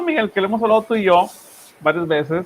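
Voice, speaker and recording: A strong Monterrey accent over noticeable background noise. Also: man. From Monterrey, northern Mexico. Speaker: online news show host. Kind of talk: political discussion. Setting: live stream.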